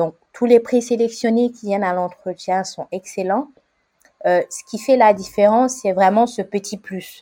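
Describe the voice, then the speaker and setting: Dry and close with no echo, the voice has a dark, mellow tone, a fairly slow pace, fairly even intonation and big swings in loudness. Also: woman, fairly high pitch for a woman. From Côte d'Ivoire (Abidjan), Senegalese family. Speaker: young professional, podcast guest. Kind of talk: interview, life story. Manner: hesitant, many fillers and repetitions.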